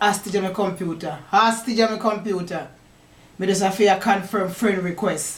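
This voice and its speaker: A woman with a Jamaican accent talks at a moderate pace in a medium-pitched, somewhat breathy voice. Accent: Jamaican Patois. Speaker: poet. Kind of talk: casual talk to camera. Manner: upbeat.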